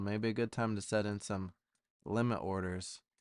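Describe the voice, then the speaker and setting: A man has a plain, everyday voice with a fairly low pitch and fairly even intonation. The sound is dry and close with no echo, against a quiet background. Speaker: stock trading streamer. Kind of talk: casual chat.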